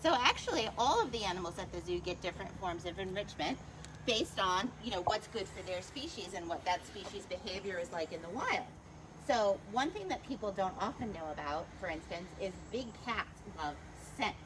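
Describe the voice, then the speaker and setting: A woman's medium-pitched voice with lively intonation at a moderate pace, over noticeable background noise. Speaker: zoo educator. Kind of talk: live educational commentary. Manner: quiet to avoid disturbing animals.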